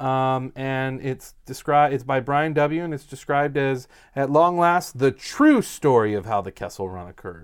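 A man with an unremarkable speaking voice talks at a moderate pace and medium pitch, his loudness swinging widely. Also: lively intonation. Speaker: YouTube Star Wars talk show co-host. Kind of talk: casual banter podcast chat. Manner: casual, joking, hedging filler.

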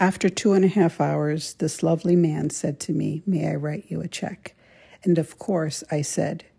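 A woman's dark, mellow tone with vocal fry, fairly low in pitch, fairly even in intonation and at a fairly slow pace. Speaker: podcast host storyteller. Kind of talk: storytelling monologue. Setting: recording remotely. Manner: laughs often while talking.

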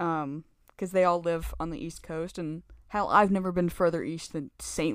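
With an American accent and an unremarkable speaking voice, a woman talks at a fairly slow pace and fairly low pitch, her intonation fairly even but her loudness swinging widely, on a very clean recording with a silent background. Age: 20s. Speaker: podcast guest. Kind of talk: casual chat.

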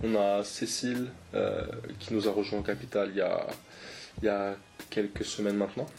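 The speaker keeps a moderate pace, very even loudness and fairly even intonation, with long, frequent pauses over noticeable background noise. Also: man, fairly low pitch for a man. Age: 20s. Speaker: app startup co-founder. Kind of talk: interview.

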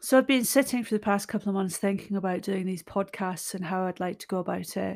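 A woman with a Scottish accent talks at a very fast pace, her medium pitch showing ordinary variation. Her loudness swings widely. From Scotland. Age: 50s. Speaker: podcaster. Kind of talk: personal monologue. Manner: unscripted, reflective.

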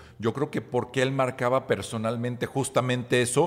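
The pace stays moderate. The voice is an ordinary speaking voice. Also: man. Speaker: marketing podcast co-host. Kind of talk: casual chat.

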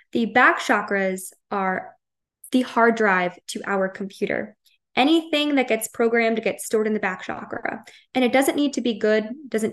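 In an American accent, a woman speaks at a moderate pace in a plain, everyday voice, fairly high in pitch with ordinary pitch variation. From Long Island, New York. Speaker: holistic wellness counselor and energy healer. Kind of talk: podcast interview.

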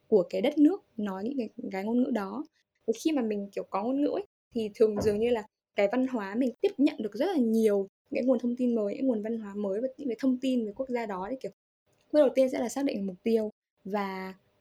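Her voice is fairly high-pitched, with a dark, mellow tone and ordinary pitch variation. The woman talks at a very fast pace in a dry, close sound with no echo. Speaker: English teacher. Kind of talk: interview. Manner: halting.

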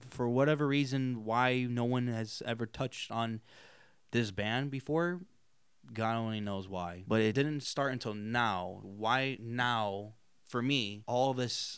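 A man's plain, everyday voice at a medium pitch, with ordinary pitch variation. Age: 20s. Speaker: student film director. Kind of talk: casual interview chat.

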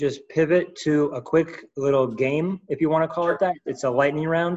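In an unremarkable speaking voice, a man speaks at a moderate pace, fairly high in pitch and with fairly even intonation. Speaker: podcast host. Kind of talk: casual chat.

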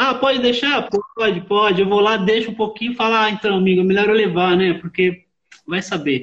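The pace is moderate, with ordinary pitch variation. Loudness stays very even. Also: man, high pitch for a man. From Osasco, São Paulo, Brazil. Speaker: live and studio sound engineer. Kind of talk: casual interview chat. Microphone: on 4G connection.

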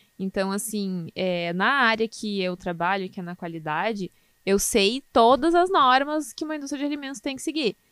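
Her pitch swings very widely around a fairly high center. The woman is captured in a very clean recording with a silent background. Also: moderate pace. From southern Brazil, Canoas near Porto Alegre. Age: 20s. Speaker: food quality analyst. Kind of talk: casual interview.

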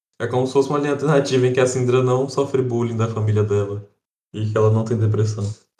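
A man with a medium pitch talks at a very fast pace in a dark, mellow, somewhat breathy tone. His intonation stays fairly even. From Brazil, interior. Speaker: podcast co-host. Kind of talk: casual chat.

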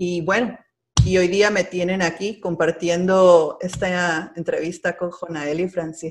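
With music playing behind her, a woman talks at a fairly slow pace. Her pitch is fairly low, and her intonation is flat and monotone. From Peru. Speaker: agricultural extension agent. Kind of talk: interview. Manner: halting.

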